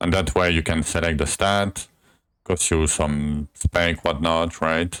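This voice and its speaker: In a French accent, a man with a very deep, low pitch talks at a very slow pace with fairly even intonation. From France. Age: 30s. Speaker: gaming streamer. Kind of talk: live gameplay stream chat. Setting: live stream. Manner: casual, explanatory.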